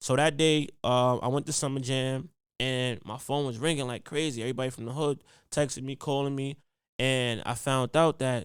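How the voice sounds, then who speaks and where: A man with a New York accent speaks at medium pitch and a moderate pace, his intonation flat and monotone. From Harlem, New York City. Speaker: podcast host, educator, hip hop artist, public speaker. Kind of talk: casual podcast storytelling.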